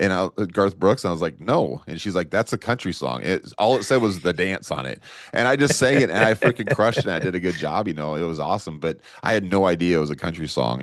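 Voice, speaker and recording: Very fast and with hardly any pauses, a man speaks in a very deep, low voice with vocal fry and very wide pitch swings. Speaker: podcast co-host. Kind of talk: casual chat.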